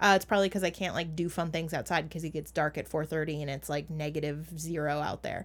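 Very fast and very deep in pitch, a woman with an American accent talks with vocal fry and fairly even intonation in a very clean recording with a silent background. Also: hardly any pauses. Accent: Minnesotan, toned down. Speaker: podcast co-host. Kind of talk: casual chat.

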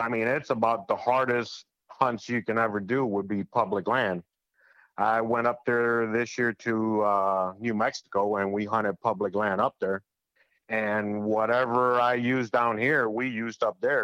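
A normal speaking voice with an American accent speaks at a moderate pace with fairly even intonation, the sound dry and close with no echo over a quiet background. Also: man, medium pitch for a man. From Cuba, then Florida from age eight. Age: 40s. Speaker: hunter. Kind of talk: casual chat.

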